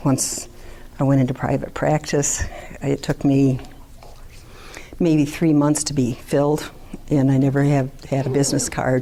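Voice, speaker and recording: A woman's very deep, low, monotone voice with flat intonation, very even loudness and long, frequent pauses over noticeable background noise. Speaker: social worker. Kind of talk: conference talk.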